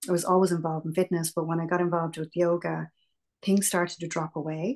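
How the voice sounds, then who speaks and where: Monotone, flat intonation in an Irish accent over a quiet background. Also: woman. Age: 50s. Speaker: meditation and yoga teacher. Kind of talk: interview.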